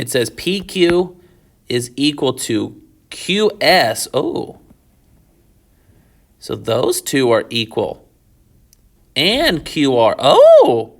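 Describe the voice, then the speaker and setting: Leaving long, frequent pauses, a man talks at a very slow pace. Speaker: high school math teacher. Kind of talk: tutorial.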